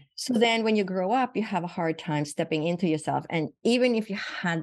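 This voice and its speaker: Using ordinary pitch variation, a woman speaks at a moderate pace in a Swedish accent. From Sweden. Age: 60s. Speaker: physician. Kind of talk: interview.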